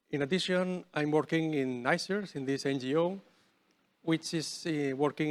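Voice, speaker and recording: A man with a Spanish accent on a very clean recording, silent background. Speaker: researcher. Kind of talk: lecture. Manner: halting.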